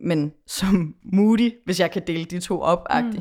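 A woman's ordinary speaking voice, fairly low in pitch with lively intonation, on a very clean recording with a silent background. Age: 20s. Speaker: pop musician. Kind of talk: casual chat.

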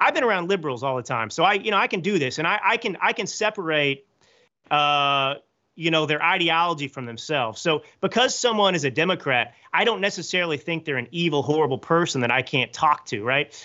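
A man talks in a plain, everyday voice with a fairly high pitch. His intonation is lively. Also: fairly quick pace. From Texas, Dallas area. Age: 30s. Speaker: author and political commentator. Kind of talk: interview.

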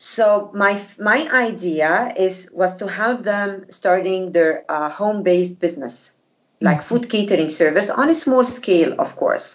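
In an Arabic accent, a woman speaks at a fairly slow pace with hardly any pauses. Her medium pitch carries lively intonation. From Egypt. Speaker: former diplomat and food blogger. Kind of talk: interview. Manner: halting, many fillers.

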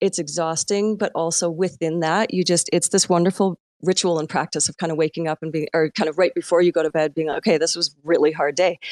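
Talking at a very fast pace, a woman uses a fairly low pitch and a monotone, flat intonation in a dry, close sound with no echo. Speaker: digital artist. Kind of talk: live audio chat.

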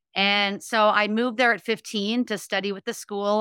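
A woman's medium-pitched, bright, sharp voice with a Californian accent, moderate in pace, dry and close with no echo. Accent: General American (California). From Los Angeles, California. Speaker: former ballerina and motivational speaker. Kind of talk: interview. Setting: remote call.

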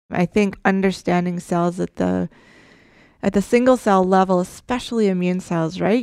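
A woman with an unremarkable speaking voice talks in a Canadian accent at a fairly low pitch and a moderate pace. The recording is very clean, with a silent background and a dry, close sound with no echo. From Saskatchewan, Canada. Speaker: immunology researcher. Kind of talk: interview.

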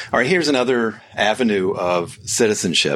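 A man with an American accent has a plain, everyday voice. He moves at a moderate pace with lively intonation. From United States. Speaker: podcast host and author. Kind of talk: solo podcast monologue.

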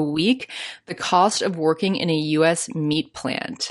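Against a quiet background, a woman speaks fairly slowly in a Canadian accent. Her fairly low voice has an animated tone. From Canada. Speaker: podcast host. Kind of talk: solo podcast monologue, casual. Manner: animated, chatty, laughs often.

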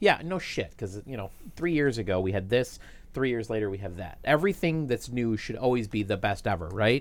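A man with a plain, everyday voice speaks at a medium pitch and a fairly quick pace with lively intonation, recorded very cleanly against a silent background. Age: 40s. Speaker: tech podcast co-host. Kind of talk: casual chat.

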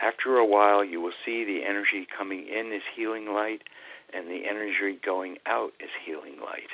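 The man's pitch is fairly low. He speaks at a moderate pace with ordinary pitch variation. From New England, US. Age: 60s. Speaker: Taoist teacher and author. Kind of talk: guided breathing meditation, instructing listeners to visualize healing light. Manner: hesitant, with frequent um and uh fillers.

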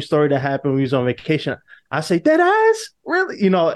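A man talks with a New York accent against a quiet background. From New York City. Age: 20s. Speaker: actor. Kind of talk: interview.

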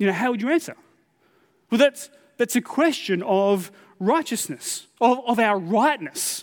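An Australian-accented man at an extremely high pitch, with lively intonation, a fairly slow pace, and long, frequent pauses. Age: 40s. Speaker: pastor. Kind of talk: sermon. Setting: church. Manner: halting, frequent repetitions and fillers.

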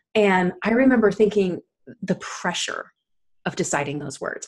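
This woman's voice is somewhat breathy, carrying an animated, warm tone. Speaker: podcast host. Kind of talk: casual interview chat.

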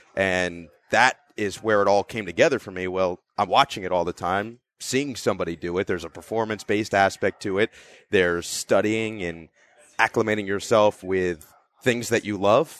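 In a dry, close recording against a quiet background, a man with an American accent uses an unremarkable speaking voice, fairly low in pitch, at a moderate pace with fairly even intonation. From northern New Jersey. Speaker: NBA play-by-play broadcaster. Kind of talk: interview. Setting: in person, Minnesota.

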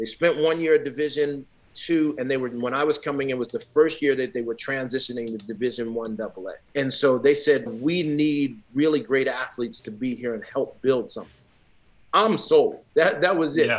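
A man speaks with an American accent at a moderate pace, in an ordinary speaking voice. His pitch is fairly high and varies in an ordinary way. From Newark, New Jersey. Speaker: former pro football player and sports sociologist. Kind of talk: interview.

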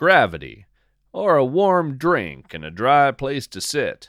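The recording is very clean, with a silent background. A man speaks there at a very slow pace. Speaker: nature storyteller podcaster. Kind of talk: spoken-word nature fiction. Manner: lyrical, hushed and measured; dreamy, slow, atmospheric.

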